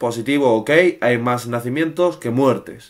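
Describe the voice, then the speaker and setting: Only silence sits behind the voice. His delivery moves at a moderate pace, from a man. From Spain. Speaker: secondary school teacher. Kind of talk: lecture. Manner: hesitant, many filler sounds; casual, chatty. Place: home room. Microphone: webcam.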